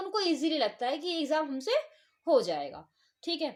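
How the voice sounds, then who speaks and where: A woman's extremely high voice. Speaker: online exam coach. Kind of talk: tutorial. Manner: halting with fillers.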